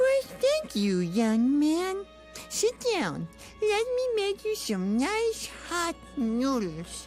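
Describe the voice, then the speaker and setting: A female-sounding put-on character voice speaks at a very slow pace while clear music plays in the background. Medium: machinima. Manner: syrupy, motherly, controlling.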